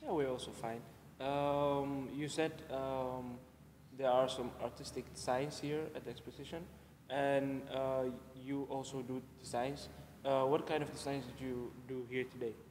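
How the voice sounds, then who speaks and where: A man speaking fairly slowly in a monotone with flat intonation, with audible room echo. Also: medium pitch for a man. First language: Dutch. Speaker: show host. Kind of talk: casual interview. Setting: large exhibition hall.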